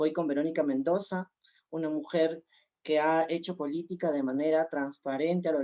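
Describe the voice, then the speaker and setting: A woman with a very deep, low pitch and a dark, mellow tone speaks at a moderate pace. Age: 20s. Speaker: congressional candidate. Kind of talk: political debate.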